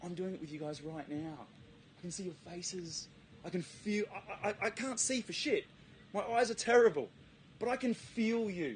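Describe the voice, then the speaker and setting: Speaking at a moderate pace with long, frequent pauses, a man uses lively intonation and a high pitch. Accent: Australian. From South Australia, Adelaide. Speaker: presenter. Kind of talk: talk to a live audience.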